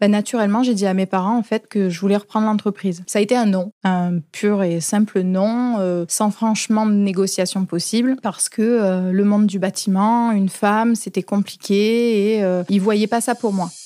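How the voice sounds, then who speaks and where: Over a silent background in a very clean recording, a woman speaks in a dark, mellow tone with fairly even intonation, very even loudness and hardly any pauses, the sound dry and close with no echo. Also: medium pitch for a woman, moderate pace. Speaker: plumbing and heating company manager. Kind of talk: interview answer.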